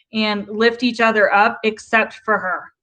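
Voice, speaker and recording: With a slight Southern US accent, a woman speaks at a fairly high pitch and a moderate pace. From US South. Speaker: YouTube livestreamer, commentary. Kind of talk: casual livestream commentary reading chat. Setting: live stream.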